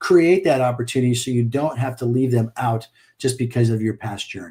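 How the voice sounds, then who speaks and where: A man's somewhat breathy voice with a dark, mellow tone, medium pitch, ordinary pitch variation and a fairly quick pace. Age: 60s. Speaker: business coach. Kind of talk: podcast interview.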